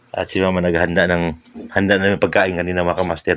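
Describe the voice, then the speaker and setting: A soft-spoken man with a very deep, low pitch, a monotone, flat delivery and a very fast pace. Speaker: vlogger. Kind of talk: casual vlog narration. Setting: indoors at home, others asleep.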